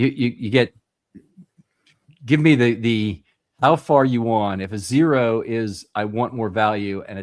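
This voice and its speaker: The speaker is a man with a plain, everyday voice at a medium pitch. He talks at a fairly slow pace with ordinary pitch variation. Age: 60s. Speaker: football draft analyst show host. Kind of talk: live draft panel discussion.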